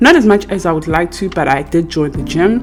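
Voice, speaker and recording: A woman talks at a moderate pace. Behind her voice, music is playing. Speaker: financial coach and vlogger. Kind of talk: casual vlog talk. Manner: halting, many fillers.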